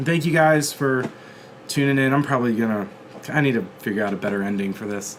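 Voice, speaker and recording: Noticeable background noise fills the clip. The talking is very fast, with ordinary pitch variation. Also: man, medium pitch for a man. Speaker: comedian and podcast host. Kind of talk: casual chat. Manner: casual, filler-heavy.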